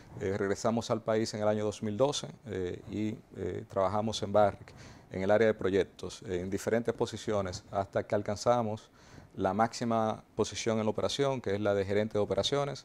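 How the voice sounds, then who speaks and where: Moderate pace with fairly even intonation. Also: man, fairly low pitch for a man. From Dominican Republic, Azua; Dominican Republic. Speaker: mining company executive. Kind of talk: TV interview. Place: studio. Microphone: lapel.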